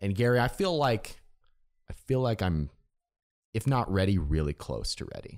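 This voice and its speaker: A man with an American accent, fairly low pitch and very wide pitch swings, at a moderate pace with long, frequent pauses. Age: 30s. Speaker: podcast host and entrepreneur. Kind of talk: interview conversation.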